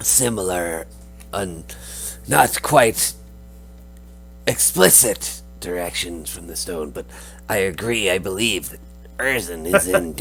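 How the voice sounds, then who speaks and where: Over clear background noise, a man in a put-on character voice speaks very deep and low at a fairly slow pace, with long, frequent pauses. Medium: actual play. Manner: earnest, speaks of herself in third person.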